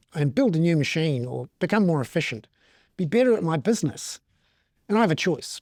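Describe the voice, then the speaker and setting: On a very clean, dry and close recording with no echo and a silent background, a man with a New Zealand accent speaks fairly quickly at a fairly high pitch with lively intonation. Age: 50s. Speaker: economic commentator. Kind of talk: interview. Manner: conversational, with filler words.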